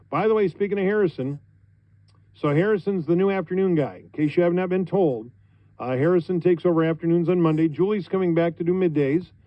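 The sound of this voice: A man talks at a fairly quick pace with a high voice and ordinary pitch variation.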